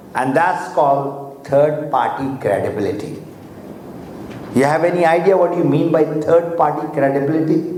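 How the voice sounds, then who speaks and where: The voice moves at a moderate pace with fairly even intonation. There is audible room echo and noticeable background noise. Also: man, fairly high pitch for a man. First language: Urdu or Hindi. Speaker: motivational speaker. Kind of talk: motivational seminar talk.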